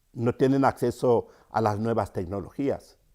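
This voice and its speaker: A man's dark, mellow tone. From Cameroon, rural centre. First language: Yambasa (speaking Spanish). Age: 50s. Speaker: storyteller and writer. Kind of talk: interview. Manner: halting, many fillers.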